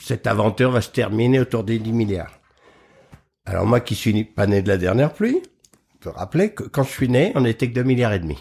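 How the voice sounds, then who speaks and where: At a moderate pace, a man talks with a somewhat breathy, medium-pitched voice and lively intonation, on a very clean recording with a silent background. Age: 70s. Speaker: agriculture expert and public speaker. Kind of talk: interview.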